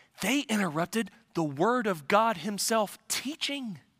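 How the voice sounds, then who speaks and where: This man has a high, bright, sharp voice that he raises and projects. His pitch swings very widely. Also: dry, close sound with no echo. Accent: American. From US Midwest. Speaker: pastor. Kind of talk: sermon.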